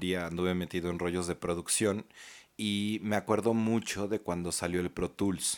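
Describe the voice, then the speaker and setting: The very clean recording has a silent background. A man with a Mexican accent talks at a moderate pace in a very deep, low voice with monotone, flat intonation. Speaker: podcast co-host. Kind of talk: casual chat. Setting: studio.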